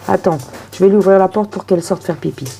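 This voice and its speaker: A woman's voice over noticeable background noise. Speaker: tarot reader. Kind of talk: tarot reading video. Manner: casual, chatty.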